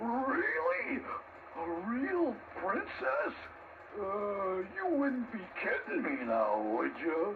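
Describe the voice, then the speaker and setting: A put-on character voice, fairly high in pitch, moves at a very slow pace with long, frequent pauses. Background noise is clearly audible. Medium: audio drama. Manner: gruff, blustering.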